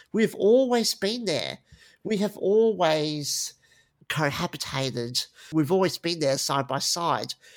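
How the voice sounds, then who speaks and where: At a very slow pace, a man with an Australian accent speaks at a high pitch with lively intonation. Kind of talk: interview.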